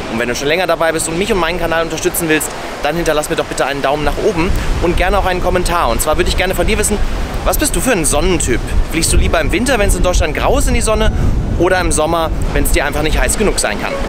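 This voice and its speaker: A man at a very fast pace with ordinary pitch variation, dry sound with no echo, and music in the background. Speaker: travel vlogger. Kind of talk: casual vlog chat. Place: beach. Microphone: phone near.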